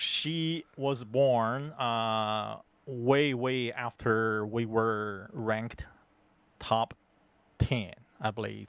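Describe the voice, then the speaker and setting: The speaker is a man with a medium-pitched voice. His pitch varies in an ordinary way. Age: 60s. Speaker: guest co-host of sports talk show. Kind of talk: casual chat. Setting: studio.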